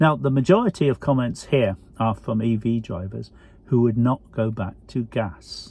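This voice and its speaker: Speaking at a medium pitch with ordinary pitch variation, a man has a dark, mellow tone that is somewhat breathy. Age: 70s. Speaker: YouTuber reviewing electric cars. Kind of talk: casual vlog talk to camera.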